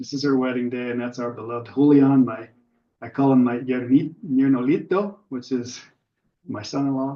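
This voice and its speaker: A man with an American accent, medium pitch and ordinary pitch variation, at a moderate pace in an unremarkable speaking voice. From US, Pittsburgh area. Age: 60s. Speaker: birder giving a club talk. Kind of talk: slideshow talk with Q&A. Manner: casual, filler-heavy.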